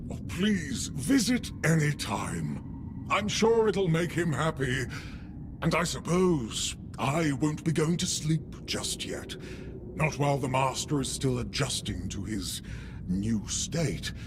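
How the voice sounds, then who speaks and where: A man's put-on character voice, fairly high-pitched and fairly slow, against loud background noise. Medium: video game. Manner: polite, solicitous.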